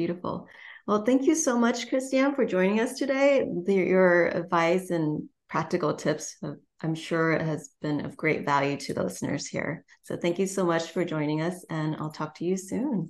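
Lively intonation carries a woman's fairly low pitch. She speaks at a moderate pace. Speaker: podcast host. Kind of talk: interview. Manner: enthusiastic.

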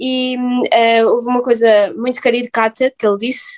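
A woman's high-pitched voice at a fairly slow pace, with a dry, close sound and no echo. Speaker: postgraduate student. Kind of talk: casual chat. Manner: formal.

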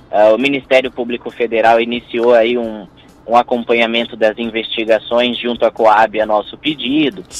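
In an ordinary speaking voice, a man talks at a moderate pace. His pitch is medium and his intonation fairly even. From Brazil, Bauru (São Paulo state). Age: 20s. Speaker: parliamentary aide and council candidate. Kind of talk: radio interview.

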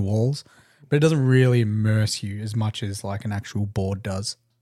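An Australian accent from a man with a dark, mellow tone and ordinary pitch variation, on a very clean recording with a silent background. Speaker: podcast co-host and miniature painting streamer. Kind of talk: casual chat. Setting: live-streamed podcast studio.

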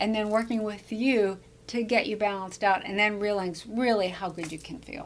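A woman talks at a fairly quick pace in an ordinary speaking voice, pitched in the medium range. Her intonation stays fairly even while her loudness swings widely. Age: 60s. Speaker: podcast host and brain health coach. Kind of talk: casual interview. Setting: studio at a wellness center.

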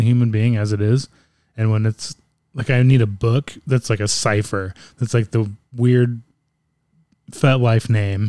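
A man's dark, mellow voice at medium pitch comes through dry and close with no echo, moving at a moderate pace with fairly even intonation. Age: 40s. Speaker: podcast co-host. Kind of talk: casual chat.

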